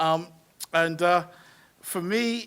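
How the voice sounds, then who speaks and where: A man talks with a South London accent. His tone is bright and sharp. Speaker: education charity CEO. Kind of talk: panel debate talk. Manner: hesitant, many fillers and repetitions.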